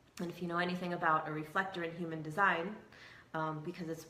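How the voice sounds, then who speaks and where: A woman with a very deep, low pitch talks in a flat monotone, with audible room echo and noticeable background noise. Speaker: hypnotherapist and spiritual video host. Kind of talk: casual monologue to camera.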